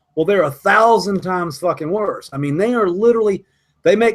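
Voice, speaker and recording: With an American accent, a man talks at a fairly quick pace in an animated tone. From US South, Savannah Georgia area. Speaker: cannabis grower and live stream host. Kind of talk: casual chat. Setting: live video hangout.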